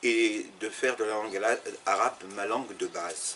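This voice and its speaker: A man talks at a very slow pace. Noticeable background noise runs beneath him. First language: Arabic and French (bilingual) (speaking French). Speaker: Arabic teacher and former interpreter. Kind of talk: interview. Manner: halting, many repetitions and fillers.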